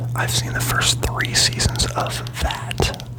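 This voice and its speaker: The speaker whispers at a very slow pace in a relaxed tone. Background noise is noticeable. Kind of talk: whispered ASMR ramble about anime, casual talk. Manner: whispered, rambling, relaxed.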